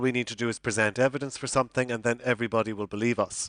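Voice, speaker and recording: The sound is dry and close with no echo, and the background is quiet. A man speaks at medium pitch with an Irish accent. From Ireland. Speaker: psychology professor. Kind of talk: conference lecture. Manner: hesitant, many fillers and repeats.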